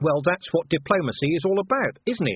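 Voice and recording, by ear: Putting on a character voice, a man speaks at a fairly quick pace, fairly high in pitch, with a husky, rough edge and big pitch swings.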